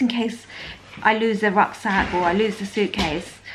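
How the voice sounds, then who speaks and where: A woman speaks with a fairly high pitch. Noticeable background noise runs underneath. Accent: British. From England. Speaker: lifestyle vlogger. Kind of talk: casual vlog. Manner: animated. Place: home room. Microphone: phone near.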